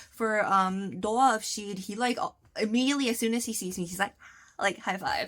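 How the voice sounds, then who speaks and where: Loud and bright with a sharp tone, the voice moves at a fairly quick pace with ordinary pitch variation in a very clean recording with a silent background. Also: woman. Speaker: vlogger. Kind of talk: casual tutorial vlog. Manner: chatty, many fillers.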